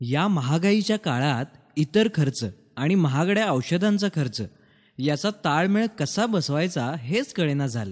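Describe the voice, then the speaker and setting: A man with a fairly high voice swings very widely in pitch while keeping his loudness very even, recorded very cleanly against a silent background. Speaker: voice actor. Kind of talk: radio/TV commercial dialogue, asking questions. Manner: curious, conversational.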